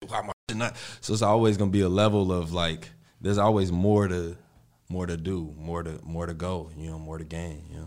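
Audible room echo surrounds a man with a very deep, low pitch who talks at a fairly quick pace with fairly even intonation and big swings in loudness. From Chicago, Austin neighborhood (West Side). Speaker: rapper. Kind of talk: interview. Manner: casual, laid-back.

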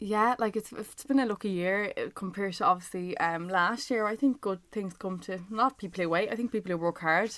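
A woman speaks fairly quickly with an Irish accent. The recording is very clean, with a silent background. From Ireland. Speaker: reality TV contestant. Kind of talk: casual chat.

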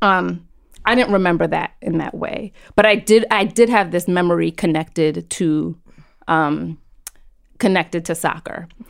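In a very clean recording with a silent background, a woman with an American accent and a fairly low voice speaks at a moderate pace, pausing long and often. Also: ordinary pitch variation. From New York City. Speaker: psychotherapist. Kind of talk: casual chat.

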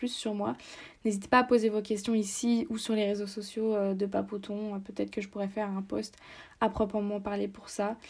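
A woman with a medium pitch talks in a monotone, flat intonation at a moderate pace. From France. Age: 20s. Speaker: podcaster and university student. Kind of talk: casual solo podcast monologue. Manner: hesitant with many fillers.

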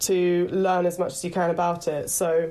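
The speaker has a southern English accent. The intonation is monotone and flat. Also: woman. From west London, then Horsham (Sussex). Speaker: actor and headshot photographer. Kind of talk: casual interview chat. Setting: video call.

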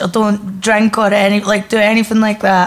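A woman speaks in an Edinburgh accent at a fairly high pitch and a moderate pace. Background noise is noticeable. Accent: Scottish (Edinburgh). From Scotland, Edinburgh. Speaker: comedian. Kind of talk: casual chat before live audience. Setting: comedy club with live audience.

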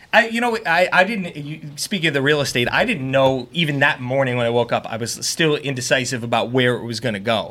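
A man with an American accent talks at a fairly quick pace with hardly any pauses and lively intonation. His pitch is medium, and there is noticeable background noise. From Long Island, New York (South Shore). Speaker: TV meteorologist. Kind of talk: casual chat.

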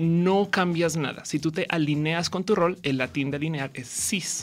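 Against music in the background, a woman with a fairly low pitch speaks at a fairly slow pace, with ordinary pitch variation. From Colombia, Bogotá. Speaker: comedian and science communicator. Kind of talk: casual chat. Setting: radio studio, live.

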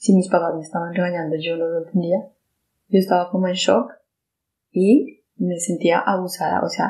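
A woman with a medium pitch and a dark, mellow tone speaks in a somewhat breathy way, her intonation fairly even. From Colombia. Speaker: survivor sharing personal testimony. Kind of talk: testimony. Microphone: poor sound quality.

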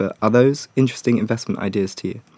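Ordinary pitch variation marks this man's unremarkable speaking voice. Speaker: podcast host. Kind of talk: casual interview.

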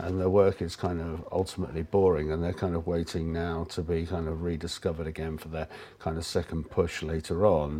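A man's very deep, low voice with a dark, mellow tone and an English accent, flat and monotone, at a fairly quick pace with hardly any pauses. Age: 50s. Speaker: artist and photographer. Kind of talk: casual chat.

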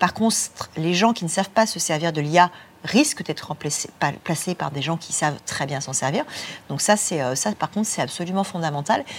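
There is some breathiness in this woman's voice. She talks at a moderate pace, and her intonation is lively. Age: 40s. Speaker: executive recruiter and future-of-work specialist. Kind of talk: interview at a student conference. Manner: repeats words when searching.

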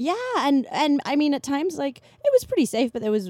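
A woman talks at a fairly quick pace, her pitch swinging very widely. The sound is dry and close, with no echo. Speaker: podcast host. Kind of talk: casual chat.

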